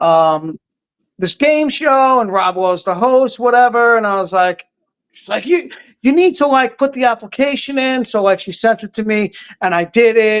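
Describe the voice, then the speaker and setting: A man's extremely high, animated voice with a New York accent and big swings in loudness. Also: lively intonation, moderate pace, dry, close sound with no echo, very clean recording, silent background. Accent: New York, rough around the edges. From New York City (Queens, Brooklyn). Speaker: game show contestant, social media creator. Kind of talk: casual podcast interview. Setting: podcast interview.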